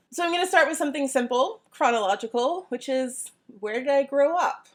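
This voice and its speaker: A woman speaks at a fairly quick pace with lively intonation and a high pitch. The recording is very clean, with a silent background. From US South, Georgia. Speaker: college professor, YouTuber. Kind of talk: casual Q&A vlog.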